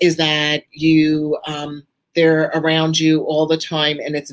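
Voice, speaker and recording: A woman speaks with a Brooklyn accent. Her pitch is very deep and low. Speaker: author and angel teacher. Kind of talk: live Q&A talk. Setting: live stream presentation.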